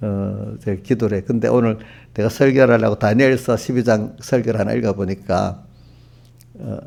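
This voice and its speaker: A man's fairly low voice with a dark, mellow tone and vocal fry. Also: fairly even intonation, moderate pace. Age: 70s. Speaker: pastor. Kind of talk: sermon. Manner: conversational, addresses congregation directly.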